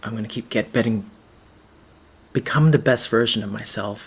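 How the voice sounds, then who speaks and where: At a moderate pace, a man talks in a voice that is somewhat breathy. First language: Cantonese. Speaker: visual storyteller and facilitator. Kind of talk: presentation.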